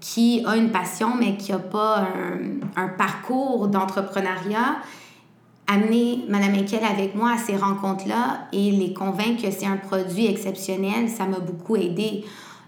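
Noticeable background noise and audible room echo fill the recording. The speech is fairly slow, with fairly even intonation. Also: woman. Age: 20s. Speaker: entrepreneur. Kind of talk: interview.

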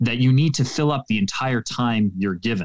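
A man with a Canadian accent has an ordinary speaking voice, medium pitch and ordinary pitch variation. The sound is dry and close with no echo. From Canada. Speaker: public speaking coach. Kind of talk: interview. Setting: remote call.

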